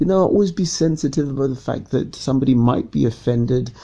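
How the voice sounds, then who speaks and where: A man's fairly high, somewhat breathy voice with a dark, mellow tone, lively intonation and a very fast pace. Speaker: podcast host and radio presenter. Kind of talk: casual monologue. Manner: hesitant with repetitions; unscripted.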